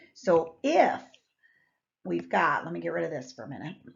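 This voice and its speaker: A woman speaks with vocal fry. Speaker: math teacher. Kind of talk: classroom lecture. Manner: casual, conversational.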